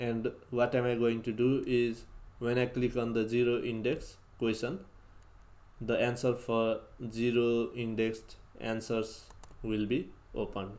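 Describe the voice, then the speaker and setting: With a non-native accent, a man speaks at a medium pitch and fairly slow pace, pausing long and often, his intonation monotone and flat and his loudness very even. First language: not English. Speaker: programming tutorial youtuber. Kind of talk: coding tutorial. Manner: halting.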